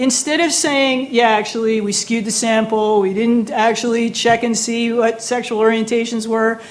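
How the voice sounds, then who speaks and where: In an American accent, a woman speaks animatedly at a fairly slow pace, with audible room echo around her. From United States. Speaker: professor. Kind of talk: lecture. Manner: animated, conversational with many fillers.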